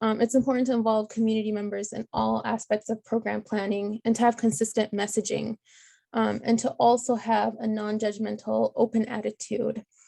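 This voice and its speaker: A woman's fairly high voice, dark and mellow in tone, fairly quick and monotone, recorded dry and close with no echo. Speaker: epidemiologist and PhD researcher. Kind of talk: conference talk. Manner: fast.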